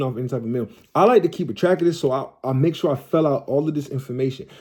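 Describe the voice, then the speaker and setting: A man talks at a very fast pace with lively intonation and a dark, mellow tone. The recording is very clean with a silent background. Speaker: credit repair tutorial creator. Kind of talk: tutorial. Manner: casual, repetitive filler-heavy.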